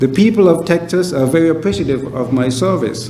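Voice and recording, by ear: A man talks at a fairly quick pace with a fairly high pitch and ordinary pitch variation. His tone is dark and mellow, and room echo is audible.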